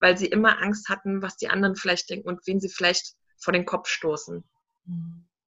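Woman at medium pitch, in a monotone with flat intonation. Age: 30s. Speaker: entrepreneur and mentor. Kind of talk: interview.

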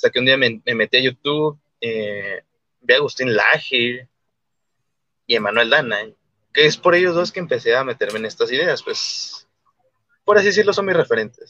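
The sound is dry and close with no echo as a man speaks at a moderate pace with long, frequent pauses. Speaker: libertarian commentator. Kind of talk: casual interview.

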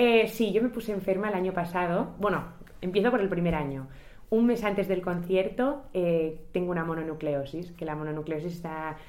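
Audible room echo surrounds a woman talking at a moderate pace, her pitch fairly low with ordinary variation. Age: 20s. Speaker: singer and charity organizer. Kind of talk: interview conversation.

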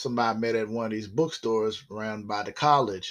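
A man with an American accent at medium pitch, moderate pace and ordinary pitch variation, over a quiet background. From US South, South Carolina. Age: 50s. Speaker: podcaster telling his life story. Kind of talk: personal monologue. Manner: casual, halting with many fillers.

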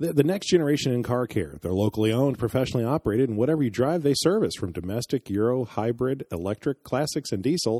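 A very fast, lively male voice at medium pitch, dark and mellow, with a dry, close sound and no echo. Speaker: co-host. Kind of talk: casual interview chat.

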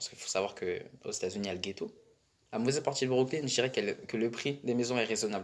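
The man talks very fast. His volume rises and drops sharply. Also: medium pitch for a man, ordinary pitch variation. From Paris suburbs, Val-d'Oise. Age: 20s. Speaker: student. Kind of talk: casual chat. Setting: socio-cultural centre room. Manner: halting.

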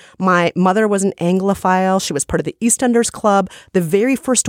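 In a very clean recording with a silent background and a dry, close sound without echo, a woman of medium pitch speaks in an animated tone with an American accent at a fairly quick pace. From United States. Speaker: podcast co-host. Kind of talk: casual chat.

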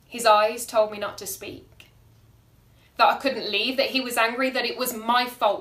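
The speaker has an unremarkable speaking voice and a moderate pace. Intonation stays fairly even while loudness swings a lot. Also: woman. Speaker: performance poet. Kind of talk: poem performed, spoken-word slam style with rhyme, delivered with dramatic emphasis. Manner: intense, emotive, rhythmic, pointed and vivid.

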